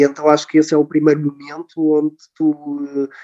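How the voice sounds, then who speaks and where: A man speaks at a fairly high pitch. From Portugal. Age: 30s. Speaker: nurse and volunteer traveller. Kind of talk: casual interview. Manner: hesitant, many filler words.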